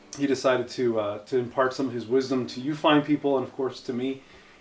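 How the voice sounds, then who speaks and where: With music in the background, a man at medium pitch talks at a fairly quick pace and with fairly even intonation. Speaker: interviewer. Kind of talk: casual talk to camera.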